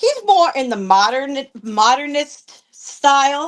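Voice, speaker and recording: A woman's very slow speech with very wide pitch swings. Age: 60s. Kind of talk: live auction selling. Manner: chatty, informal.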